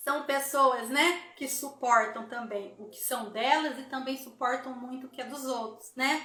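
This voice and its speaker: With noticeable background noise and audible room echo, a woman in a raised, projected voice speaks at a fairly slow pace with hardly any pauses, her high pitch held to fairly even intonation. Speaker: therapy instructor hosting live. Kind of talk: live stream talk. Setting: Instagram live.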